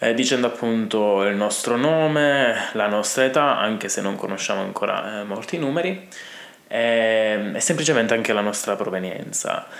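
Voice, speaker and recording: Lively intonation from a man at medium pitch and a fairly quick pace, with audible room echo and noticeable background noise. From Italy. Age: 20s. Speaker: language teacher. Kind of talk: tutorial. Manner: halting.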